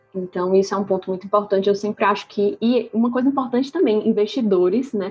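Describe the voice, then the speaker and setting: A woman speaks at a very fast pace and medium pitch, with ordinary pitch variation. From Ceará, Brazil. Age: 20s. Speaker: startup co-founder. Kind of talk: casual interview. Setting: remote recording.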